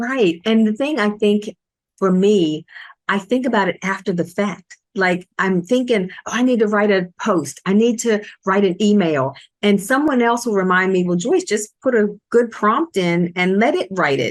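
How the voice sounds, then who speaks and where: Using a normal speaking voice, a woman talks at a medium pitch and moderate pace with ordinary pitch variation. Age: 60s. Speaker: podcast co-host, business owner. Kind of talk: casual chat.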